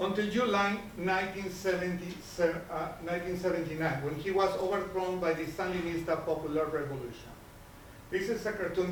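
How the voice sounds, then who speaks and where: A man with a Nicaraguan accent, high pitch, moderate pace, fairly even intonation, audible room echo and noticeable background noise. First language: Spanish. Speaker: political cartoonist. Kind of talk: panel presentation.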